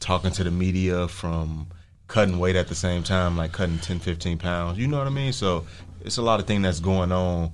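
With audible room echo, a man speaks in a very deep, low voice. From Chicago. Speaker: professional boxer. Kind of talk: casual interview. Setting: radio studio.

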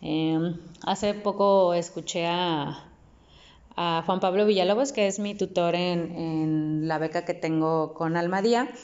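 Pausing long and often, a woman speaks at a fairly slow pace in a fairly low pitch with ordinary pitch variation. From Mexico, Nuevo León (Apodaca). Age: 30s. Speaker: poet. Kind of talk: interview. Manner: halting, with many repetitions and fillers.

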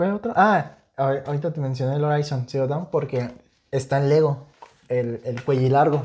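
The speaker talks at a fairly slow pace with a Mexican accent. Long, frequent pauses run through the speech. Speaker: podcast co-host. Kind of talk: casual chat.

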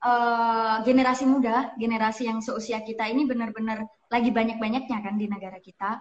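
Her voice sits high in pitch, and the woman moves at a fairly quick pace with ordinary pitch variation. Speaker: novelist and author. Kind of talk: casual chat interview. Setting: online call, connection cutting out.

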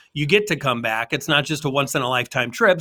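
With lively intonation and a bright, sharp tone, a man talks at a very fast pace. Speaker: podcast co-host. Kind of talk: casual chat.

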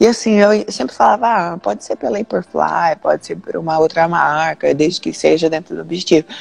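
A woman speaks fairly quickly with vocal fry at a fairly low pitch. The sound is dry and close, with no echo. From Londrina, Paraná, southern Brazil. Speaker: jiu-jitsu athlete. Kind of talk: interview on a live stream. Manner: casual, with frequent fillers.

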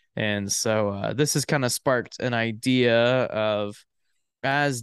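A man with an American accent speaks very slowly at a medium pitch with fairly even intonation. The sound is dry and close with no echo against a quiet background. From Florida. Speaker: podcast co-host. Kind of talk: casual chat.

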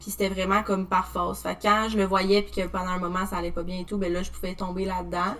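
Amid noticeable background noise, a woman rattles along at a very fast pace with hardly any pauses, her medium-pitched voice monotone and flat. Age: 20s. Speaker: social work technician. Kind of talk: testimony.

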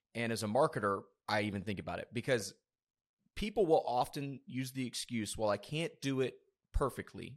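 A man with an American accent talks at a very fast pace with ordinary pitch variation. The recording is very clean, with a silent background. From US South, South Georgia. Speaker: podcast host, marketing agency co-founder. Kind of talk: casual interview chat.

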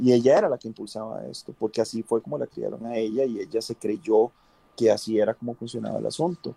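In a Costa Rican accent, the speaker talks very fast with big swings in loudness, and the sound is dry and close with no echo. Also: man, very clean recording, silent background. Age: 40s. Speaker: cosplayer. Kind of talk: casual chat. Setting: livestream.

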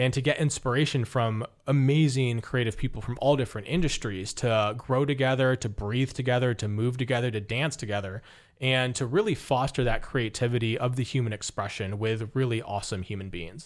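A man with an American accent at a medium pitch, ordinary pitch variation, an ordinary speaking voice, on a very clean recording with a silent background. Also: fairly quick pace. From US West, Las Vegas. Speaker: business coach. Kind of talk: interview.

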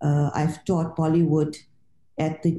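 A woman's voice sits very deep and low, with a dark, mellow tone. She speaks at a moderate pace. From South Africa. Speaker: author and literature lecturer. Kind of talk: interview.

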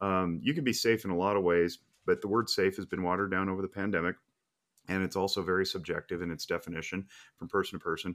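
Very fast speech with fairly even intonation in a very clean recording with a silent background. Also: man, very deep, low pitch for a man. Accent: American. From Reno, Nevada. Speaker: firearms safety trainer. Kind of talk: casual chat.

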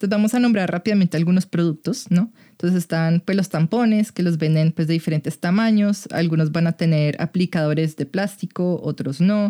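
A woman's fairly low, dark, mellow voice at a fairly quick pace with hardly any pauses, ordinary pitch variation and very even loudness, in a dry, close sound with no echo. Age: 20s. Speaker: sex educator. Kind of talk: casual chat.

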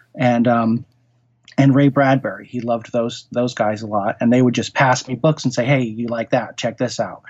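In an American accent, a man speaks at a moderate pace and medium pitch, his intonation monotone and flat. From US Northeast, Connecticut (Norwalk). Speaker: horror writer. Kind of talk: interview conversation.

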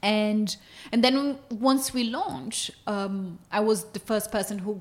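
A woman's medium-pitched voice with a Portuguese accent. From Brazil. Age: 30s. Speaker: nutrition company co-founder. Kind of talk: casual interview conversation.

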